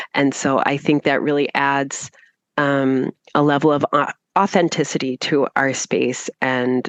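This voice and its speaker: A woman speaks at a fairly slow pace with fairly even intonation and a very deep, low pitch, in a dry, close sound with no echo against a quiet background. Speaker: English trainer. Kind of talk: casual interview chat.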